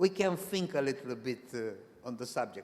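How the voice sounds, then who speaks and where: A man speaks with a non-native accent at a fairly slow pace. His intonation is lively. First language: not English. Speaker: presenter at professional consultancy association meeting. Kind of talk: conference presentation. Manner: halting, with many restarts.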